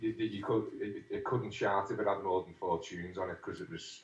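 This man speaks with a Liverpool accent. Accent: Scouse (Liverpool). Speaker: musician. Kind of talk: interview. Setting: phone call. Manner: halting.

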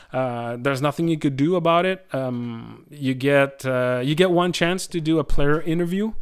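A man with a Quebec accent speaks at a moderate pace with hardly any pauses, on a very clean recording with a silent background. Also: fairly high pitch for a man, ordinary pitch variation. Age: 40s. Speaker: live sound technician. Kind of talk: interview. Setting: his country house. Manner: hesitant, many fillers.

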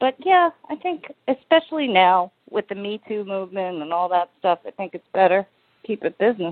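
This is a plain, everyday voice in an American accent. It moves at a moderate pace, with big swings in loudness. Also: woman, medium pitch for a woman, lively intonation. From US. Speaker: singer-songwriter. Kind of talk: radio interview. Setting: phone call.

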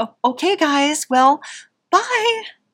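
A female-sounding voice performs a squeaky, put-on character voice at a high pitch.

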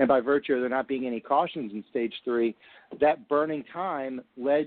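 A man speaks in an unremarkable speaking voice at a medium pitch. His pace is moderate, and his pitch varies in an ordinary way. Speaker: panel regular. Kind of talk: opinion discussion.

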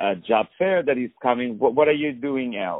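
A man with a non-native accent and lively, bouncing intonation. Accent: foreign-accented English. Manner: animated.

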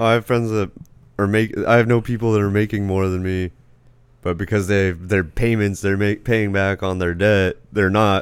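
A man with an American accent speaks at a moderate pace in a fairly low pitch, his intonation monotone and flat. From Arizona. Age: 20s. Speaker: stand-up comedian and podcaster. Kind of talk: casual chat. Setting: remote call via webcam.

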